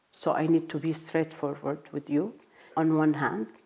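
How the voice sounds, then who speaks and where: A woman with an Arabic accent, very deep and low in pitch, dark and mellow in tone, at a moderate pace. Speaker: diplomat. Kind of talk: interview. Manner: halting.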